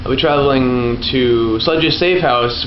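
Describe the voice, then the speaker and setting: Male speech amid noticeable background noise, with room echo clearly audible. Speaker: gaming YouTuber. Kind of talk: let's play commentary.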